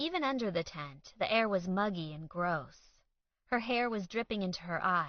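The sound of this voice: The background stays quiet. An unforced reading voice moves through ordinary pitch variation.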